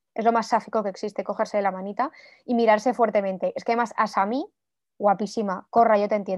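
A woman talks very fast at a fairly high pitch against a quiet background. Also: fairly even intonation. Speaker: podcast co-host. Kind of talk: casual chat.

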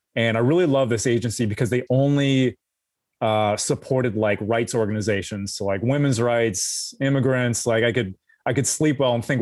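With an American accent, a man in an ordinary speaking voice talks at a fairly quick pace and medium pitch, his intonation fairly even and his loudness very even, on a very clean recording with a silent background. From US West Coast, Los Angeles. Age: 40s. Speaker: former intelligence analyst, writer. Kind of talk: interview.

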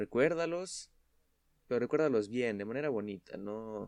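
A man with a medium pitch and lively intonation speaks at a very slow pace in a very clean recording with a silent background. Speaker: podcast guest. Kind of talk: casual chat.

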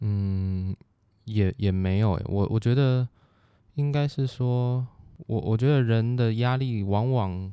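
On a very clean recording with a silent background, a man with a dark, mellow tone speaks at a medium pitch and a very slow pace, with ordinary pitch variation, very even loudness, and long, frequent pauses. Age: 20s. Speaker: business consultant. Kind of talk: casual interview.

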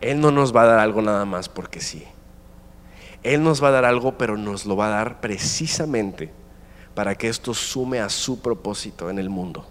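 At a moderate pace, a man of medium pitch speaks in an animated tone with ordinary pitch variation. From Mexico. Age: 20s. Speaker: guest preacher. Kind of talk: sermon. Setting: stage with audience.

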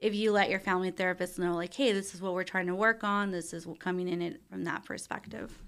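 A woman with an American accent talks at a very fast pace. The recording is very clean, with a silent background. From Texas, Brownsville. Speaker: marriage and family therapist. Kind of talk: interview.

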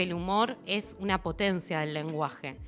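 A woman talks in a normal speaking voice. Her pitch is medium and her pace is moderate. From Argentina, Buenos Aires. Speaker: radio host. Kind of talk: casual chat.

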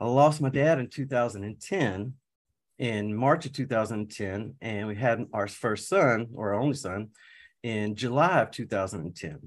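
Speaking at a very slow pace, a man with a medium-pitched voice uses lively intonation in a very clean recording with a silent background. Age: 40s. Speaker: certified high performance coach. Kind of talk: casual interview.

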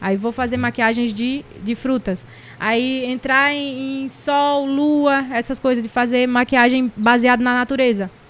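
The delivery runs at a fairly slow pace with hardly any pauses. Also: woman. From Recife, Pernambuco, Brazil. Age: 30s. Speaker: digital influencer and makeup artist. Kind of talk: casual interview chat. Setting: studio. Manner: talkative, animated.

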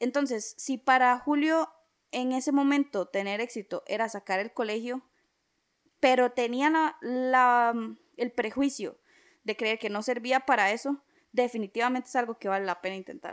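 Speaking at a moderate pace with ordinary pitch variation, this voice has a Costa Rican accent and a dry, close sound with no echo on a very clean recording over a silent background. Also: woman, high pitch for a woman. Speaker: podcast co-host. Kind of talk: casual chat.

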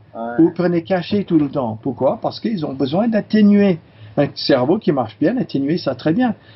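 A man with a high-pitched voice moves through very wide pitch swings. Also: moderate pace. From California, US. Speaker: chiropractor and teacher. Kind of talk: interview. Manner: halting, many fillers.

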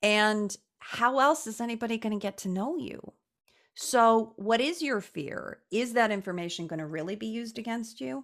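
A woman speaks with an American accent in a normal speaking voice, fairly high in pitch, at a moderate pace. Her intonation is lively, and the recording is very clean with a silent background. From US Midwest, Chicago. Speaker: psychologist. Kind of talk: casual interview.

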